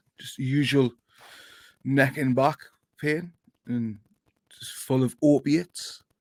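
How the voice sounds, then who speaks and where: At a very slow pace, a man with a Geordie accent speaks at a fairly high pitch with fairly even intonation, long, frequent pauses and big swings in loudness, in a dry, close sound with no echo. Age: middle-aged. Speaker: football podcast host. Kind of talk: casual chat.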